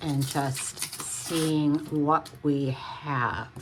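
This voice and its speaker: A woman speaks with a very deep, low pitch. Noticeable background noise runs behind her. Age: 60s. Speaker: home renovation vlogger. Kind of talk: casual DIY vlog narration. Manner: casual, hesitant with fillers.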